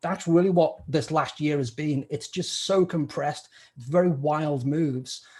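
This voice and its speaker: A man's fairly high-pitched voice with a British accent. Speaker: stock trader, podcast co-host. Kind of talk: interview.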